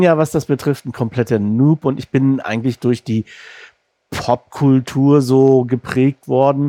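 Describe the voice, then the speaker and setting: This man has a medium-pitched voice with a dark, mellow tone and a slight northern German accent. He talks at a very slow pace, and the sound is dry and close with no echo. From northern Germany, Rostock. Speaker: podcast host. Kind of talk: interview.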